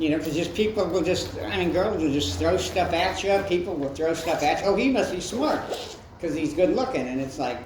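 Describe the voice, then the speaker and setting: Over noticeable background noise and audible room echo, a man speaks fairly quickly in a high pitch with lively intonation. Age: 60s. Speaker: comedian. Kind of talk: stand-up; casual chat. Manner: halting.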